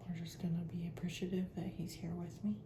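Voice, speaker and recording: The speaker goes at a moderate pace over noticeable background noise. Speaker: ASMR creator. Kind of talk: ASMR crafting video.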